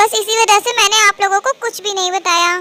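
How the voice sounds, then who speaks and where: A woman's put-on character voice, extremely high and monotone with flat intonation, in a dry, close sound with no echo. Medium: read story.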